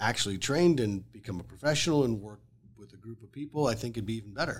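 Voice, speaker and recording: Very fast and lively in intonation, a man talks with vocal fry. His pitch sits fairly low. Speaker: real estate agent. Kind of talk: casual interview chat. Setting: studio.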